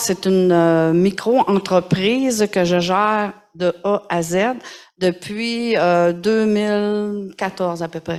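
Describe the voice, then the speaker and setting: With fairly even intonation, a woman speaks in a medium-pitched voice. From Quebec, Mauricie (Trois-Rivières, La Tuque). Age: 60s. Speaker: small business owner, mushroom forager. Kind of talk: panel discussion. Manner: casual, colloquial storytelling.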